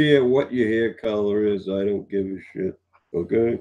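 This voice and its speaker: A man talks at a fairly slow pace with an American accent. His intonation is lively. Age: 60s. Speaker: live-stream host. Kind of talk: casual chat.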